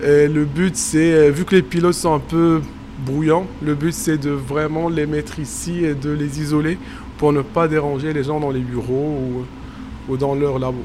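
A man with a fairly high pitch at a fairly slow pace, amid noticeable background noise and audible room echo. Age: 30s. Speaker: postdoctoral researcher. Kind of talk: on-site reportage explanation. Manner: hesitant, many fillers.

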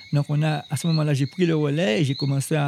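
A man's voice, fairly high in pitch. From Guadeloupe, Basse-Terre. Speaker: chef. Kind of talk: interview. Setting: outdoors in a garden at night. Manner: halting, repeats words.

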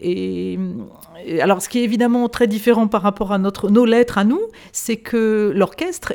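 At a fairly slow pace, a woman speaks at a medium pitch in a dark, mellow tone with fairly even intonation, on a very clean recording with a silent background. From France. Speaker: classical singer. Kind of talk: interview conversation. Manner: halting.

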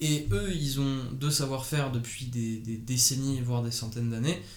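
A man speaks at a medium pitch in a monotone, flat delivery, with audible echo from the room. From Paris, France. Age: 20s. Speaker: fashion designer. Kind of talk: interview. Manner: halting.

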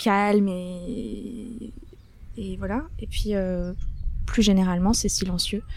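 A woman speaks at a very slow pace, her voice at a medium pitch. Long, frequent pauses break up her words, and the room echo is audible. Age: 30s. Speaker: florist. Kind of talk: casual chat. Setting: outdoors. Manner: animated.

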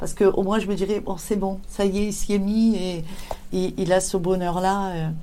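With audible room echo, a woman speaks at a moderate pace and medium pitch in a dark, mellow tone with monotone, flat intonation. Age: 50s. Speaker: ceramic artist. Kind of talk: interview. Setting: workshop. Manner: halting.

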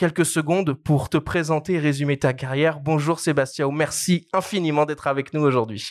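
A man with a plain, everyday voice speaks at a moderate pace and fairly high pitch, with fairly even intonation, very even loudness and hardly any pauses. The very clean recording has a silent background and a dry, close sound with no echo. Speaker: podcast host. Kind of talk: podcast interview.

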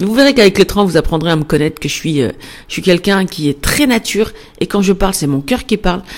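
A woman at a medium pitch talks at a very fast pace with lively intonation. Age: 40s. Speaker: podcast host, entrepreneur. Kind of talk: casual monologue. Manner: spontaneous, hesitant.

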